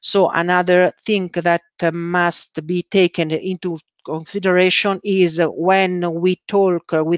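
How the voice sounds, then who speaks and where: A woman with an Italian accent speaks at a very slow pace and a fairly low pitch, monotone and flat, in a dry, close sound with no echo over a quiet background. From Italy. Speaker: scrum master. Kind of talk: conference talk. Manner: halting, many fillers.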